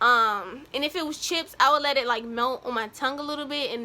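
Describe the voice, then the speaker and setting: Her voice raised and projected, a woman speaks at a high pitch with a bright, sharp tone, a moderate pace and ordinary pitch variation. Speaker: vlogger. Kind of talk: casual vlog talk. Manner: chatty, lots of fillers.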